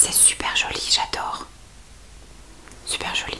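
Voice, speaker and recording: Someone whispers at a very slow pace while noticeable background noise runs underneath. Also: woman. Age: 40s. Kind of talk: ASMR makeup sorting. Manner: whispered.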